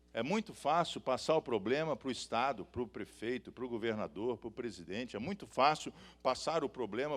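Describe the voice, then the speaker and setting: A man with a Minas Gerais accent speaks in an animated tone at a moderate pace with ordinary pitch variation, in a very clean recording with a silent background. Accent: mineiro. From Minas Gerais, Brazil (Belo Horizonte). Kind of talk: sermon. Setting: stage with audience.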